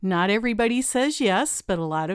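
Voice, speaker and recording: An ordinary speaking voice talks at a fairly slow pace on a very clean recording with a silent background. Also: woman. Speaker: podcast host. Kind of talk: podcast intro and interview.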